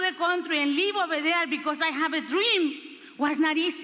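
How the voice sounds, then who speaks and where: A woman with a Spanish accent speaks in a raised, projected voice at an extremely high pitch, with ordinary pitch variation, an animated tone and a fairly quick pace. Audible room echo and noticeable background noise accompany her. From Honduras. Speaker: motivational speaker and politician. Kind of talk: motivational speech. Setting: stage with audience.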